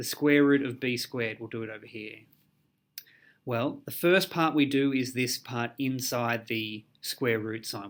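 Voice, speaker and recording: A plain, everyday voice, a man at medium pitch speaks at a moderate pace with ordinary pitch variation in a very clean recording with a silent background. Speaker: maths teacher. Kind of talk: tutorial.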